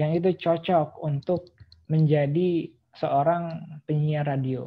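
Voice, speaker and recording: A woman speaks in a very deep, low voice that is somewhat breathy, with a flat, monotone delivery. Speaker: podcast host and vlogger. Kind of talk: casual monologue podcast. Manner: some hesitations and filler words.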